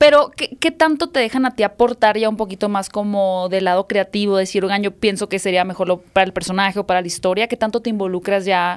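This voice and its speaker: Speaking at a very fast pace with hardly any pauses, a woman with a Mexican accent uses a medium pitch and ordinary pitch variation against a quiet background. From Mexico. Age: 30s. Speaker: podcast host. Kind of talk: interview. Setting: studio. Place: studio. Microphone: studio mic.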